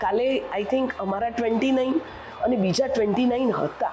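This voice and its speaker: A woman's fairly high-pitched voice comes through noticeable background noise. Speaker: retired teacher, resident. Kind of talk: testimonial interview.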